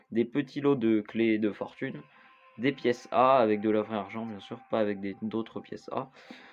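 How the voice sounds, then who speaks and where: The speaker is a man with a medium pitch. He talks at a very slow pace, with fairly even intonation. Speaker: gaming youtuber. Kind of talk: gameplay tutorial. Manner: halting, many fillers.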